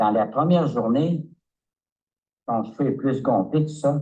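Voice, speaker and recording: A man speaks at a very slow pace in a dark, mellow tone. His voice is somewhat breathy. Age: 70s. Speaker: customer giving a product testimonial. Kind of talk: testimony. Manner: halting, many hesitations.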